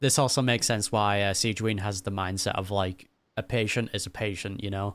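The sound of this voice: A woman speaks at an extremely low pitch and a fairly quick pace. Her intonation stays fairly even.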